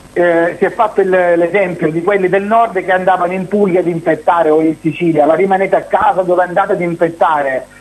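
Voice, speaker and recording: Over music in the background, a man with a high pitch talks at a fairly quick pace in a monotone, flat intonation with hardly any pauses. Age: 40s. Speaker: TV personality. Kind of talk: interview.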